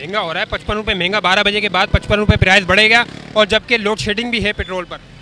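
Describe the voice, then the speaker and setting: Over noticeable background noise, a man with a high pitch uses a raised, projected voice in a monotone, flat intonation. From Pakistan. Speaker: street reporter. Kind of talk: street interview.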